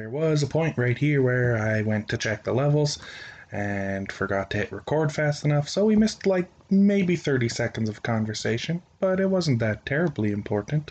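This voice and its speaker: Speaking with a Canadian accent, a man uses a medium pitch at a moderate pace. His pitch swings very widely. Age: 20s. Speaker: podcast host. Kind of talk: casual chat. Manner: rambling, casual, profane.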